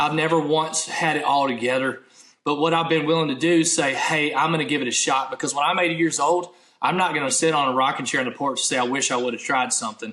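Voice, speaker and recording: A man with a rather high voice rattles along very fast as clear background noise fills the recording. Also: ordinary pitch variation. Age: 30s. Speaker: minister, former military. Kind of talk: casual interview chat.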